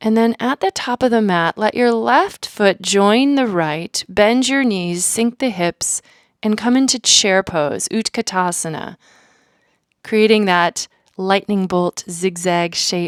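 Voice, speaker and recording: A soft-spoken woman talks in a calm tone at a medium pitch with ordinary pitch variation. Her very slow delivery comes through dry and close, with no echo. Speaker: yoga instructor. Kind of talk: guided yoga class instruction, audio only. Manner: clear, soft-spoken, calm.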